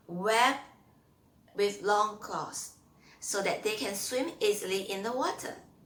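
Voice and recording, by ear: Her voice sits at medium pitch with a bright, sharp tone. Audible room echo surrounds this woman.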